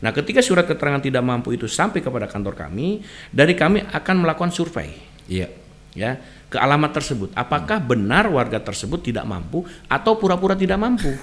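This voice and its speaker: Very wide pitch swings and a very fast pace from a man with a fairly high voice. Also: big swings in loudness. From West Java, Sumedang. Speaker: legal consultant. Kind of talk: radio legal advice talk. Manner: hesitant, many fillers.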